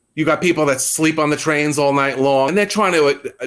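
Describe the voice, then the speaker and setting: The speaker has a New York accent and lively intonation. The pace is fairly quick. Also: man. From New York City. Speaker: New York local interviewed about the subway. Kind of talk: casual interview.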